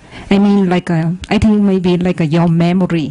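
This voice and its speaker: Amid noticeable background noise, a woman with a Vietnamese accent speaks at a fairly low pitch with fairly even intonation. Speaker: audience member asking a question. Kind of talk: question in a dhamma discussion. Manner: halting, hesitant.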